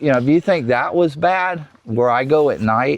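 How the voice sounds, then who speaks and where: Fairly slow speech with a Florida accent and lively intonation, against noticeable background noise. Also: man. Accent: Southern US, rural Florida. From South Florida, Everglades. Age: 60s. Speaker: wildlife researcher and Everglades local. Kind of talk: casual interview. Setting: outdoors.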